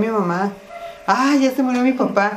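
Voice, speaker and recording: A woman's voice at a fairly slow pace with ordinary pitch variation, music in the background and audible room echo. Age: 50s. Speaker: podcast co-host. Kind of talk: casual chat.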